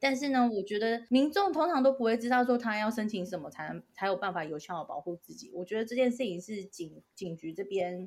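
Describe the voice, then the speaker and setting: With an unremarkable speaking voice, a woman talks at a fairly quick pace and fairly high pitch, her lively intonation and big swings in loudness leaving hardly any pauses. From Taiwan, Tainan. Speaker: podcast co-host. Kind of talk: casual chat.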